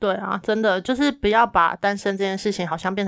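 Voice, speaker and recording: A woman with an unremarkable speaking voice at a moderate pace, with ordinary pitch variation and a very clean recording over a silent background. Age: 30s. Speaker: podcast co-host. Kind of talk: casual chat.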